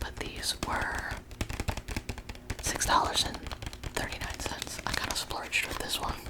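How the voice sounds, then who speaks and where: Someone whispers at a fairly slow pace with long, frequent pauses against noticeable background noise. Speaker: art school student. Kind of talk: ASMR whisper ramble. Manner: whispered, soft-spoken.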